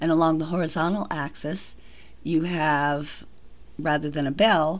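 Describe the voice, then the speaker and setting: Audible room echo colors a woman's fairly low voice. She talks at a fairly slow pace with ordinary pitch variation. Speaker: psychology professor. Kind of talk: lecture. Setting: recorded lecture audio track over slides.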